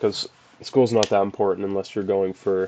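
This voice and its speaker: A man speaks in a fairly low pitch with a dark, mellow tone. His pace is fairly quick. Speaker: youtuber giving advice. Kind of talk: casual vlog advice talk. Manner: monotone; casual, with filler words.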